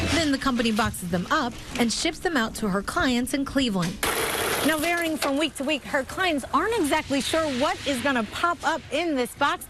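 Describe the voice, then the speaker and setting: Noticeable background noise sits behind a woman with a high pitch and lively intonation. She keeps a moderate pace and very even loudness. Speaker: TV reporter and host. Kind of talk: TV news report.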